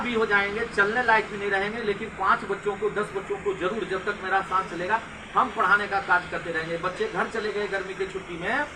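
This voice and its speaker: A man projects a raised voice at a high pitch with fairly even intonation. Noticeable background noise runs beneath him. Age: young. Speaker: school principal. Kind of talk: interview.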